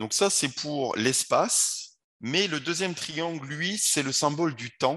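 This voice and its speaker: Over a quiet background, a man talks at a very slow pace with a fairly high pitch and a bright, sharp tone. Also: ordinary pitch variation. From France, Paris. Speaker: wellness coach and yoga teacher; coach being interviewed. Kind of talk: interview. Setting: video call. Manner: halting, repeats words. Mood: calm, earnest. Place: home room.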